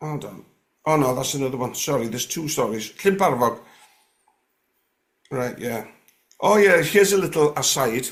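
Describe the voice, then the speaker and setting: With a North Welsh accent, a man speaks at a moderate pace in a fairly high voice, with big swings in loudness and long, frequent pauses. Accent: North Walian. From North West Wales, Gwynedd. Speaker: guest sharing paranormal experiences. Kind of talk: casual interview chat. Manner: halting, many fillers and restarts.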